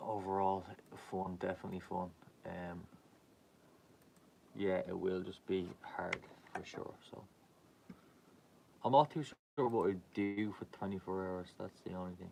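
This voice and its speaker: A man with a Dublin accent speaks at a very deep, low pitch in a dark, mellow tone. He leaves long, frequent pauses, and his loudness swings widely. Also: ordinary pitch variation. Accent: Irish, Dublin. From Ireland. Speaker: live streamer, clothing brand owner. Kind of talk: casual live stream chat. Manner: casual, meandering with fillers.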